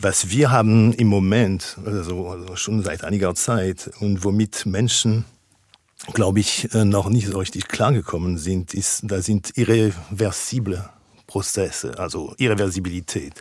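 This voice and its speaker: A man with a French accent talks at a fairly slow pace and fairly low pitch, with ordinary pitch variation. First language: French (speaking German). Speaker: philosopher. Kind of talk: radio interview. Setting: radio studio, remote. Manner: halting, many filler sounds.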